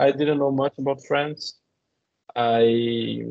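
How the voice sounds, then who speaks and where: A man with a Portuguese accent speaks in a monotone, flat way. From Brazil. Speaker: postdoctoral researcher. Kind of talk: testimony. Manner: halting.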